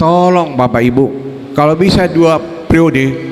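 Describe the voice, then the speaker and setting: A man's fairly high voice at a moderate pace, with noticeable background noise and audible room echo. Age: 70s. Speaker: politician. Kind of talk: campaign speech. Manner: animated.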